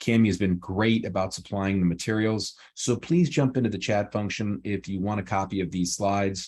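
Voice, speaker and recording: A man speaks at a fairly quick pace with fairly low pitch. His pitch varies in an ordinary way against a quiet background. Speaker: employment attorney. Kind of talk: webinar presentation. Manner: fast.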